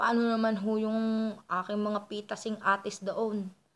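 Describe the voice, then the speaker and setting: In a Batangas accent, a woman speaks with medium pitch and monotone, flat intonation. Her pace is moderate. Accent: Batangueño Tagalog. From Philippines, Batangas. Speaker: vlogger. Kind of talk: casual storytelling. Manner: sounds angry by default.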